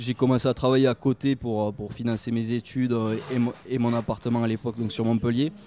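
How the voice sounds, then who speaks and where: Speaking at a fairly quick pace in a flat monotone, a man is heard in a dry, close recording with no echo. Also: medium pitch for a man. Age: 20s. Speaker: politician. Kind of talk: interview. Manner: halting.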